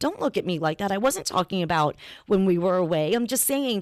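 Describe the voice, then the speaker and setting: On a very clean recording with a silent background, a woman's voice comes through dry and close with no echo. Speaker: podcast host. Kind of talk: casual chat. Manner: halting.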